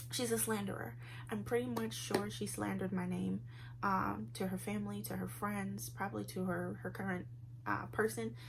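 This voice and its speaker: A woman with a very deep, low pitch and very wide pitch swings talks amid noticeable background noise and audible room echo. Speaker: vlogger. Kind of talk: casual vlog monologue. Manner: fast.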